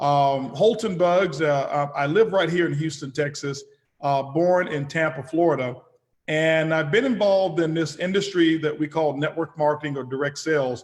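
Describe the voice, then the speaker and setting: A man's normal speaking voice, fairly high in pitch, at a moderate pace with ordinary pitch variation. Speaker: business executive. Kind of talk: webinar presentation. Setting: webinar call.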